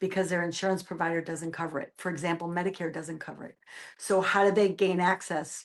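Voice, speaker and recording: A woman with a Boston accent and a medium-pitched voice, set against a quiet background. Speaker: nurse, hospice outreach director. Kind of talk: interview. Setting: video podcast.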